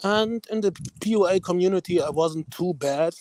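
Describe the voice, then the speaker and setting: With a German accent, a man speaks at a high pitch with ordinary pitch variation. The sound is dry and close, with no echo. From Germany. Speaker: caller. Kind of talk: casual chat. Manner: halting.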